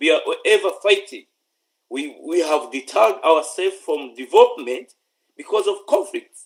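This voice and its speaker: The speaker uses a Ugandan accent and keeps a moderate pace. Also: man. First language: Luganda. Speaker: political commentator. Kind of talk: political address. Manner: stammering; repetitive halting.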